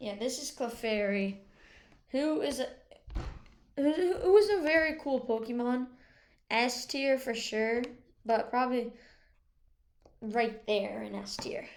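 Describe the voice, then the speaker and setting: A quiet woman speaks fairly slowly at a high pitch with lively intonation, big swings in loudness, and long, frequent pauses. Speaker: gaming video creator. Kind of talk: casual tier-list commentary. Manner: quiet, slow.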